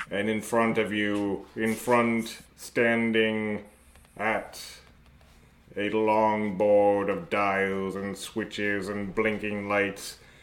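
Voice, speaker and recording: The delivery is very slow. Its intonation is monotone and flat. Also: man, fairly low pitch for a man. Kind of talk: over-the-top adventure narration. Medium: actual play. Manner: grandiose, mock-heroic.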